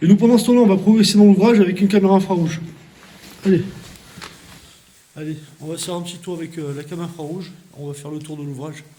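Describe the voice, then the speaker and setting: A soft-spoken man with a high voice talks very fast but leaves long, frequent pauses, with noticeable background noise and audible room echo. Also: ordinary pitch variation. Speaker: urban explorer and paranormal investigator. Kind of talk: on-location exploration vlog. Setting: inside an abandoned fort at night. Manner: hesitant with fillers.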